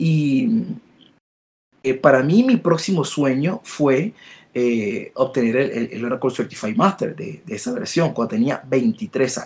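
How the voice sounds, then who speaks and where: A somewhat breathy man with a fairly high pitch speaks at a very slow pace, with very wide pitch swings and long, frequent pauses. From Latin America. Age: 40s. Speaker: database expert. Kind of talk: interview. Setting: live stream.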